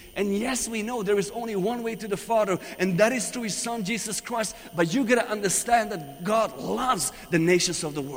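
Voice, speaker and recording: With noticeable background noise behind him, a man with a high pitch speaks animatedly at a moderate pace with ordinary pitch variation and hardly any pauses. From Iran. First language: Persian. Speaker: visiting preacher. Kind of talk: sermon. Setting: church.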